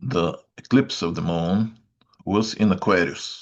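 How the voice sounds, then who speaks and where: Speaking at a very slow pace, a man uses a very deep, low voice with ordinary pitch variation. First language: Bulgarian. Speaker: astrologer. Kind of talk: weekly update talk. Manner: hesitant, many filler sounds.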